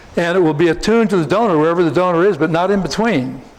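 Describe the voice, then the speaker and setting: Against noticeable background noise, a man with an American accent talks at a fairly high pitch with ordinary pitch variation. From US Northeast, New Jersey. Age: 70s. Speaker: researcher and polygraph expert. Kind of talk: conference talk and Q&A. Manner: halting, many fillers.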